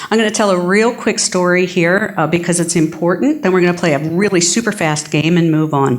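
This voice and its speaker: Keeping her loudness very even, a woman talks at a fairly quick pace in a fairly low pitch. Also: ordinary pitch variation. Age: 50s. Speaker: keynote speaker, advocacy group regional director. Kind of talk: keynote talk. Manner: animated.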